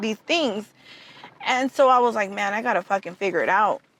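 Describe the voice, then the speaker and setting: A woman speaks at a moderate pace with a Spanish accent and an animated tone. The sound is dry and close with no echo, with noticeable background noise. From Southern California, Mexican-American, born in Tijuana. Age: young. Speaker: tax business owner. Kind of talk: interview.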